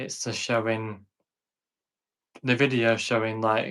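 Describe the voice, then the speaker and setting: A man in a Yorkshire accent, medium-pitched, with a bright, sharp tone and monotone, flat intonation. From northern England, Sheffield. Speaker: content creator who stutters. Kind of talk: interview.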